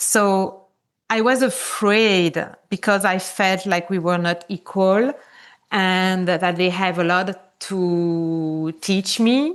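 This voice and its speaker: Against a quiet background, a woman speaks in a medium-pitched voice with a French accent. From Switzerland. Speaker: conscious business mentor. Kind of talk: podcast interview. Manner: casual, with frequent fillers.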